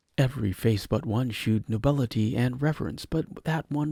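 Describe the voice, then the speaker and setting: Speaking at a fairly quick pace, a man with a medium-pitched, somewhat breathy voice has a dark, mellow tone, heard in a dry, close sound with no echo. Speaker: storyteller. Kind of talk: horror story reading.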